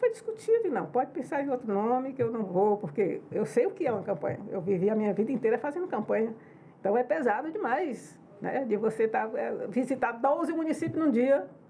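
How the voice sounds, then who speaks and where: Noticeable background noise accompanies a woman with a high voice. She talks fairly quickly with very wide pitch swings. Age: 70s. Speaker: politician, former state governor. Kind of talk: podcast interview. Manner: conversational, informal.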